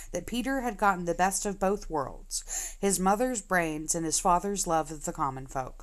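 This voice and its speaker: Lively intonation from a woman at a moderate pace, in a very clean recording with a silent background. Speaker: audiobook narrator. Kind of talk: reading aloud. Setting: live stream. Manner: occasional slips and self-corrections.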